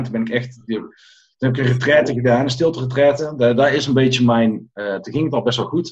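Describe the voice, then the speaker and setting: His speech moves at a fairly quick pace with fairly even intonation. The man's voice carries a somewhat breathy quality. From Netherlands, Tilburg (North Brabant). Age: 40s. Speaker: coach and former restaurant owner. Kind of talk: interview.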